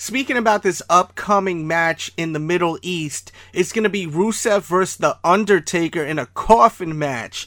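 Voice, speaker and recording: Over noticeable background noise, a man with a high pitch talks with hardly any pauses. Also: ordinary pitch variation, moderate pace. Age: 30s. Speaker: podcast host and sneaker reviewer. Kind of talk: casual solo monologue. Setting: home with dogs barking in background.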